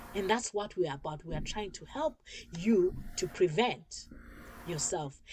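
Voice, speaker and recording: Speaking at a moderate pace with lively intonation, a woman with a medium-pitched, somewhat breathy voice makes big swings in loudness and pauses long and often. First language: not English. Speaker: talk show host. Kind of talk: informational talk show monologue. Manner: halting, with repetitions.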